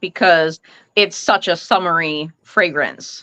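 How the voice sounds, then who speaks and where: A woman speaks loudly in a bright, sharp tone. Her pace is very slow. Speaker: live stream host, fragrance collector. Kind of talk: casual chat.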